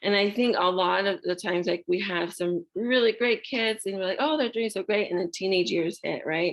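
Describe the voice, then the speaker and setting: With a normal speaking voice pitched fairly low, a woman talks at a moderate pace. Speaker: parenting class presenter. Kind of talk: online parenting class presentation. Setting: video call.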